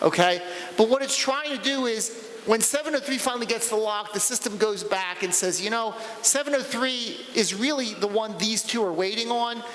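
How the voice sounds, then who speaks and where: Noticeable background noise runs behind a man whose voice has an extremely high pitch. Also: ordinary pitch variation, moderate pace. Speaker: conference speaker. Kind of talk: technical talk Q&A. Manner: halting, repetitive.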